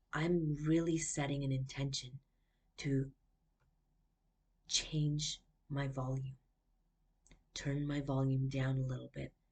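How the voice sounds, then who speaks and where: With long, frequent pauses, a woman speaks very slowly in a very deep, low, somewhat breathy voice and flat, monotone intonation. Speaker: life coach. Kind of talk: personal vlog. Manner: chatty.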